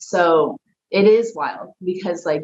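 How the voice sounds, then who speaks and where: A woman speaks with a Texan accent at a medium pitch. The sound is dry and close, with no echo. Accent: Texan twang. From Texas, Dallas. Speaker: professional wrestler. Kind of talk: interview. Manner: casual, filler-heavy.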